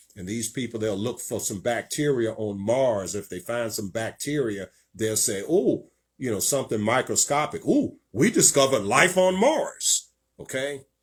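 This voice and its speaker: A man speaks at a moderate pace in a medium pitch, his intonation lively and his voice somewhat breathy, on a very clean recording with a silent background. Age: 60s. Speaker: preacher and show host. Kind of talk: sermon. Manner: hesitant, many fillers.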